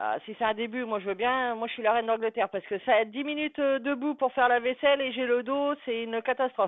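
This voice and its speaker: Speaking at a very fast pace with hardly any pauses, a woman with a high pitch keeps her intonation fairly even. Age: 40s. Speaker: live streamer. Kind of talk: casual chat. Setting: live stream.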